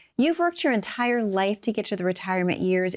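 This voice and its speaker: Recorded dry and close with no echo against a quiet background, a woman uses an ordinary speaking voice at a medium pitch with lively intonation. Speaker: show host. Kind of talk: sponsored radio show with call to action.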